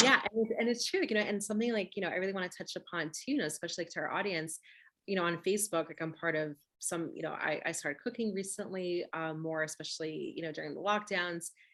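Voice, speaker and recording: Talking very fast, a woman with a medium-pitched voice and a bright, sharp tone uses ordinary pitch variation. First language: Russian. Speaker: webinar host. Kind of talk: casual interview conversation. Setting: video webinar.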